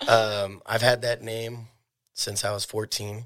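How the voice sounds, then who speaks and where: With an American accent, a man uses an ordinary speaking voice, fairly low in pitch, with fairly even intonation. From Oregon (Eugene). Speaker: cannabis dispensary owner. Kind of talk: casual interview.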